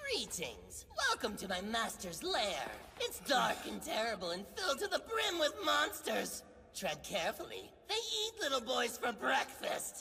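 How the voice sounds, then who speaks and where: A put-on character voice, female-sounding and high-pitched, at a moderate pace over clear background noise. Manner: menacing, sinister.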